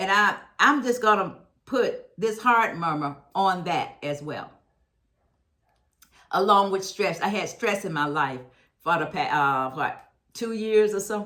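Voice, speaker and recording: A woman at medium pitch speaks at a fairly slow pace with long, frequent pauses, her tone bright and sharp and her intonation lively. Audible room echo surrounds her voice. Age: 70s. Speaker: health lifestyle vlogger. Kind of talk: Q&A testimony to camera. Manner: halting with false starts.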